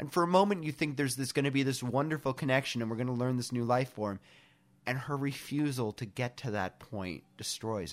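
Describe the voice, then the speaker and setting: Speaking with an American accent, a man talks at a fairly quick pace with medium pitch. His pitch variation is ordinary, on a very clean recording with a silent background. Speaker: podcast co-host. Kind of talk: casual chat.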